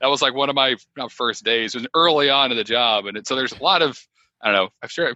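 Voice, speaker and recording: Speaking fairly quickly, a man uses an ordinary speaking voice with ordinary pitch variation. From Connecticut. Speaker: former brewer, podcast host. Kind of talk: casual chat.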